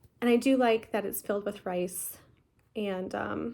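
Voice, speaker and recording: A woman mumbles at a moderate pace. The recording is very clean, with a silent background. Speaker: cross-stitch vlogger. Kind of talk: casual chat. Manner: mumbling.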